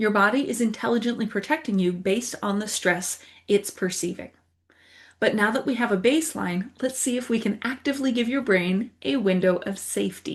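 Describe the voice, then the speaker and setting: A somewhat breathy woman at a fairly quick pace, with ordinary pitch variation over a quiet background. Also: fairly high pitch for a woman. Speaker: wellness teacher. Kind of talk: guided exercise tutorial. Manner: animated.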